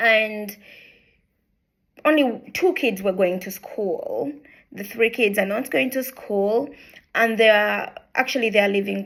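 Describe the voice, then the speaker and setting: With a Ugandan accent, a woman with a fairly high pitch and vocal fry talks at a fairly slow pace, using ordinary pitch variation and long, frequent pauses. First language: Luganda. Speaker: charity founder. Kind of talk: introductory video talk. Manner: hesitant, many fillers.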